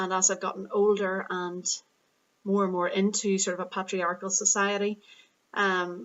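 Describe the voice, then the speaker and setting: A woman speaks in an Irish accent at a medium pitch. Her pace is moderate. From Northern Ireland. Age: 30s. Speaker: yoga and Pilates teacher vlogging. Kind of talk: unscripted vlog monologue. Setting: parents' living room at home. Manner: hesitant, many fillers.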